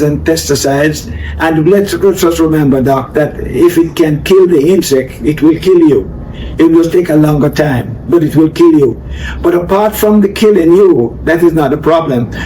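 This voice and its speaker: Noticeable background noise sits under a man with a fairly high pitch who speaks at a moderate pace and very even loudness. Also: ordinary pitch variation. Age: 70s. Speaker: organic farmer. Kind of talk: interview.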